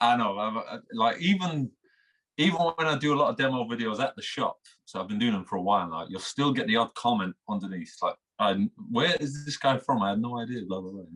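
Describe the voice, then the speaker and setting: With a Manchester accent, the speaker moves at a fairly quick pace with lively intonation. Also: man, medium pitch for a man. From England, Manchester. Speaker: instagram guitarist. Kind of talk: interview. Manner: halting.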